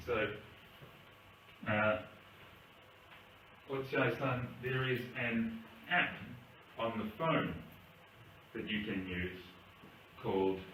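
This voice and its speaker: A man with an Australian accent speaks at a medium pitch and a very slow pace with long, frequent pauses and ordinary pitch variation, amid noticeable background noise and audible room echo. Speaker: English teacher. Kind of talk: language lesson. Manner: hesitant, many fillers.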